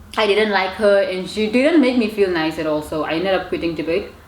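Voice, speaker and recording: Over noticeable background noise and audible room echo, a woman at a medium pitch talks at a fairly quick pace with lively intonation. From Namibia. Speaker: YouTuber. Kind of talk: casual chat. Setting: eating on camera. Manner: stutters when angry or about to cry; repetitive, halting phrasing.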